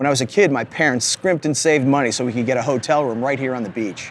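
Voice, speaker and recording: A man's medium-pitched voice at a very fast pace, with music in the background. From New Jersey. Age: 50s. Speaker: travel show host and musician. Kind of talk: casual interview and on-camera talk.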